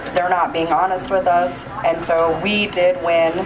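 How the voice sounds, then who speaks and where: A woman speaks at a moderate pace with medium pitch. There is audible room echo and noticeable background noise. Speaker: cannabis policy advocate. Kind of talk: convention speech. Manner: soft-spoken.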